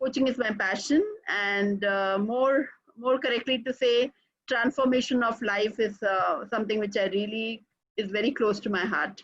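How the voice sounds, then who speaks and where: In an Indian accent, a woman speaks at a moderate pace. Her pitch is fairly high and her intonation fairly even. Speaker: executive coach. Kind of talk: webinar presentation.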